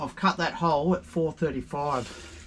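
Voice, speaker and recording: A man talks with an Australian accent. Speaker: DIY vlogger. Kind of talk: DIY tutorial. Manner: casual.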